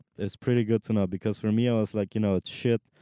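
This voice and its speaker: This man's fairly low voice has a dark, mellow tone and monotone, flat intonation. The sound is dry and close, with no echo. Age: 20s. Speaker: podcast co-host. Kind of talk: casual chat. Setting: in a car.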